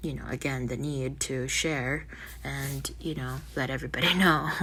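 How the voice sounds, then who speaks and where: The voice belongs to a woman. Her speech carries audible room echo. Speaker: spiritual vlogger. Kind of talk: casual monologue. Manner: halting.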